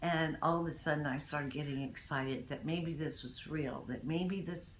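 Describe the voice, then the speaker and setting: In a room with audible echo, a woman speaks at a fairly slow pace in a very deep, low voice. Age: 60s. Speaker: dental patient. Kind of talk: testimonial. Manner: halting, many fillers.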